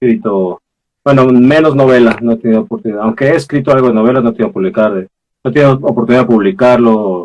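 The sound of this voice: Delivered at a fast pace, the speech has ordinary pitch variation and a slightly mellow tone. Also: man.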